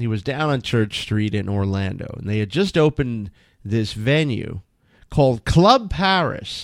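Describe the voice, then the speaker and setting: A man speaks at a fairly slow pace in an ordinary speaking voice, medium in pitch with lively intonation, on a very clean recording with a silent background. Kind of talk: radio dj patter: casual co-host banter and teasing on air. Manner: dry, wry, jokey, chiming in mid-sentence.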